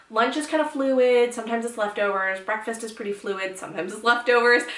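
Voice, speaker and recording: A woman talks fairly quickly in a fairly high pitch with ordinary pitch variation, with noticeable background noise and audible room echo. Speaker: lifestyle blogger. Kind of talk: casual tutorial vlog. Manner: fast; animated.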